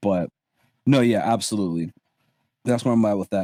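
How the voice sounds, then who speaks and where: In an American accent, a plain, everyday voice shows ordinary pitch variation, heard in a dry, close sound with no echo. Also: man. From Barbados, then Southern California. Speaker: storytelling content creator. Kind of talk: casual podcast interview.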